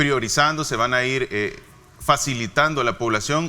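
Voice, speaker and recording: Using an ordinary speaking voice, a man talks at a medium rate, his pitch rising and falling in a typical way. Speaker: health official, doctor. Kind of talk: interview.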